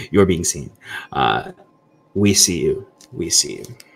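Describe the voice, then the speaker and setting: Whispering in a croaky, put-on character voice, a man speaks at a fairly slow pace. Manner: whispering, croaky.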